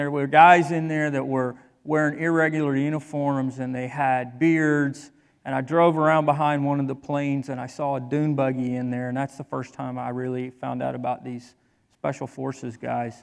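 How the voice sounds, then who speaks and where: On a very clean recording with a silent background, a man speaks in a fairly high, monotone voice with flat intonation. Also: moderate pace. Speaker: military veteran. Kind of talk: staged personal testimony.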